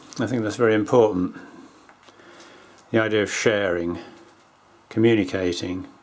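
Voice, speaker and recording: With noticeable background noise behind him, a man with a fairly low pitch talks at a moderate pace, with ordinary pitch variation and long, frequent pauses. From England, Essex (Romford). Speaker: artist. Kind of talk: personal monologue to camera.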